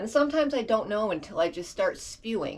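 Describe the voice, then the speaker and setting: The pace is fairly quick and the tone animated. Vocal fry runs through the voice. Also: woman. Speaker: video blogger. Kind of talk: casual monologue. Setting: bedroom.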